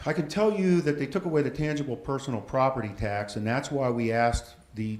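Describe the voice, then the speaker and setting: Audible room echo surrounds a man's voice. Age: 60s. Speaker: school district official. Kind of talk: presentation at city council meeting. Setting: council chamber meeting. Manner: halting, frequent fillers and restarts.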